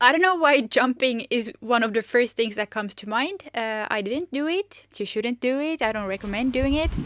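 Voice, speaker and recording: A woman with a non-native accent, high pitch, moderate pace, lively intonation, hardly any pauses, and a dry, close sound with no echo. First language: not English. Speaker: home renovation vlogger. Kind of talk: casual vlog narration. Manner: casual, chatty.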